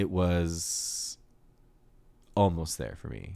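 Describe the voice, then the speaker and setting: A man mumbles in a dark, mellow tone with ordinary pitch variation. The recording is very clean, with a silent background. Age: 30s. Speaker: music reviewer streamer. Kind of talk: livestream music review. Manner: mumbling; casual, filler-heavy.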